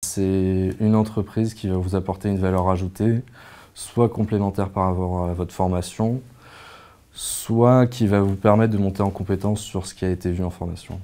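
A man's dark, mellow voice at a moderate pace, in a monotone, flat intonation. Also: fairly low pitch for a man. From Provence, southern France. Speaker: former master's student. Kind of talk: testimonial interview. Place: office. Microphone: lapel.

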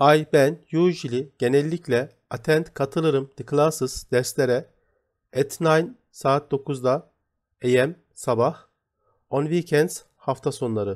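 At a very slow pace, a man speaks at a fairly high pitch with ordinary pitch variation, in a very clean recording with a silent background. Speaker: English teacher. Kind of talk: tutorial.

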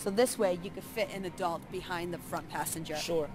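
A woman speaks at a fairly quick pace. The sound is dry with no echo, and there is light background noise. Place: hall.

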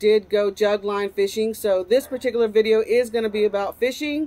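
A woman's voice at a moderate pace with fairly even intonation. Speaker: fishing vlogger. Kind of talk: casual vlog chat. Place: garden.

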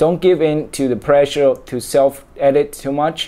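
In a Chinese accent, a man with a fairly high pitch and a dark, mellow tone speaks at a fairly slow pace. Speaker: reader. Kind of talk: book reading aloud. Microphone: webcam.

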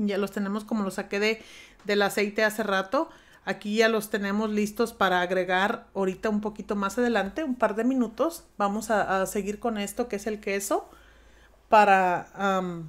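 This woman talks at a moderate pace. Her intonation stays fairly even. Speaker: home cooking youtuber. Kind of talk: cooking tutorial. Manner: talkative, informal. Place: kitchen.

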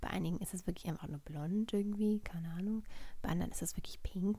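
A woman speaks softly in a dark, mellow, somewhat breathy voice. The sound is dry, with no echo. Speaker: ASMR vlogger. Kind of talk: ASMR vlog, casual talk to camera. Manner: soft-spoken. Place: home room.

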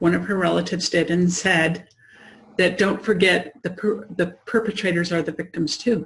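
At a moderate pace, a woman with a fairly low pitch speaks with vocal fry. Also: fairly even intonation. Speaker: interview host. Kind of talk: casual chat. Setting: video call. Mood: earnest, reflective. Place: home room. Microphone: video call.

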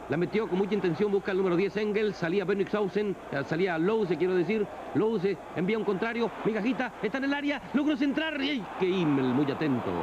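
A man with a high pitch speaks with lively intonation and very even loudness. Noticeable background noise is present. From Barranquilla, Colombia. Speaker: sports commentator. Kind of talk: football match commentary. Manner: measured, unhurried, no shouting.

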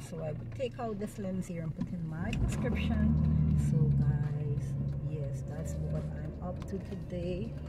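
Loud background noise fills the recording. The speaking pace is fairly slow. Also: woman. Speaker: vlogger. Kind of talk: casual vlog chat. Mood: relaxed and cheerful. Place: car. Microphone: phone near.

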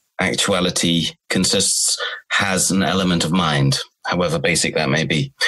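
Ordinary pitch variation marks this man's speech. His voice is very deep and low. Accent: southern English. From Cornwall, southwest England. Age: 30s. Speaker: philosopher. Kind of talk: interview. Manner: halting.

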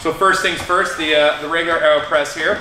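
Audible room echo and noticeable background noise surround a man with a high voice. He speaks at a moderate pace with fairly even intonation. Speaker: coffee show host. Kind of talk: tutorial.

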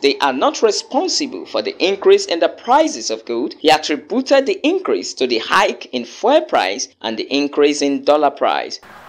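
Hardly pausing, a man with a Nigerian accent talks over noticeable background noise. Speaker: news reporter. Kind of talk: news report.

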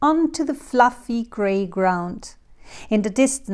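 This is reading aloud in a natural voice, with lively intonation.

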